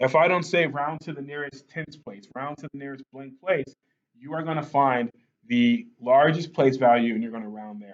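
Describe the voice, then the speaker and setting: In a plain, everyday voice, a man with a fairly high pitch speaks at a moderate pace with ordinary pitch variation. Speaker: math teacher. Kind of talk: tutorial.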